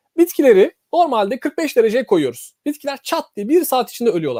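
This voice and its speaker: A man's dark, mellow voice at a fairly quick pace, with very wide pitch swings and a dry, close sound with no echo. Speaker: molecular biologist. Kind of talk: interview.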